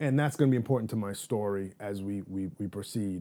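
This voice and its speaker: A man in a New York accent, fairly quick in pace, dark and mellow in tone, with ordinary pitch variation, on a very clean recording with a silent background. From New York City, Manhattan. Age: 30s. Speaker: guest sharing life story. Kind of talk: interview. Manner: casual, frequent fillers.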